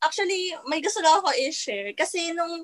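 A woman talks at a moderate pace in a dry, close sound with no echo. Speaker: newlywed guest. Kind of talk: casual chat.

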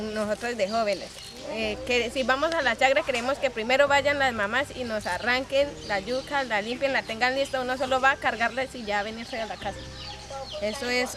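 A woman speaks at a moderate pace in a high pitch with fairly even intonation. Noticeable background noise is present. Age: young. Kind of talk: personal reflection / testimony.

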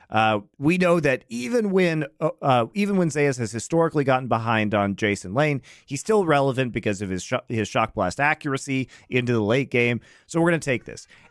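A man speaks at a medium pitch with lively intonation in an ordinary speaking voice. The recording is very clean with a silent background, and the sound is dry and close with no echo. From Colorado, US. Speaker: esports podcast co-host. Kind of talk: casual chat.

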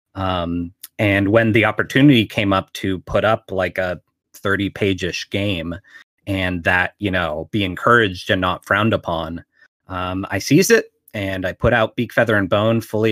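A man with an American accent and a fairly low pitch talks at a moderate pace with fairly even intonation in an unremarkable speaking voice. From Pittsburgh, Pennsylvania. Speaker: game designer and publisher. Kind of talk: interview.

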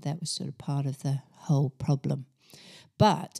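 A woman with a New Zealand accent speaks at a fairly slow pace in a very clean recording with a silent background and a dry, close sound with no echo. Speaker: yoga and meditation teacher. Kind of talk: casual chat.

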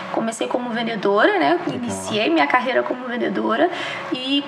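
Someone speaks at a moderate pace, with audible room echo and noticeable background noise. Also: woman. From Brazil, Minas Gerais (Juiz de Fora). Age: 30s. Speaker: retail store manager. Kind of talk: interview podcast.

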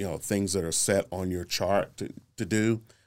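A man with an ordinary speaking voice and an American accent talks at a moderate pace, fairly low-pitched and with fairly even intonation, in a very clean recording with a silent background. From Northeast Oklahoma City, Oklahoma. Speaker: nonprofit practitioner and mentor. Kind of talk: interview conversation.

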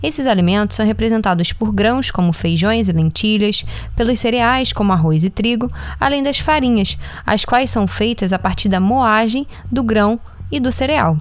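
Over noticeable background noise, the voice keeps a very even loudness, moves at a moderate pace, and shows ordinary pitch variation. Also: woman, fairly high pitch for a woman. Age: 20s. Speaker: nutrition student podcast host. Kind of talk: scripted narration.

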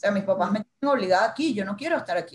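A woman speaks with a Venezuelan accent at medium pitch. Her voice is somewhat breathy. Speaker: marketing and communications manager, former TV journalist. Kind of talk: casual interview.

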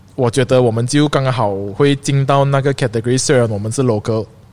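Speaking at medium pitch, the man shows ordinary pitch variation. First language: English and Hokkien rather than Mandarin (speaking Chinese). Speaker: streetwear brand founder and shop owner. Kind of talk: casual chat.

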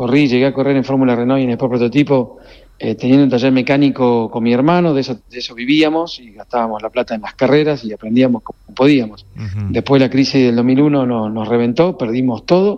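An unremarkable speaking voice from a man, medium in pitch, at a fairly quick pace with hardly any pauses and ordinary pitch variation. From Argentina, Corrientes. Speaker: racing team owner. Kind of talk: radio interview. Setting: phone call.

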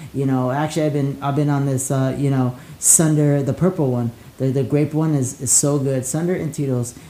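There is noticeable background noise as a man speaks with a fairly high pitch. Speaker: podcast host and DJ. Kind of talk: casual chat. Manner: animated.

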